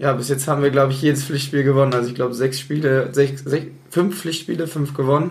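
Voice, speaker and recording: Speaking very fast in a monotone, flat delivery, a man with a fairly high pitch sounds somewhat breathy against audible room echo. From Bonn, Rhineland, Germany. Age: 20s. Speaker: amateur football team captain. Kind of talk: casual interview.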